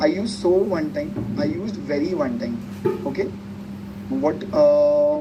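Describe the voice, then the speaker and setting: A man with very wide pitch swings, amid noticeable background noise and audible room echo. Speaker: tech tutorial presenter. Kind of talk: tutorial. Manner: animated.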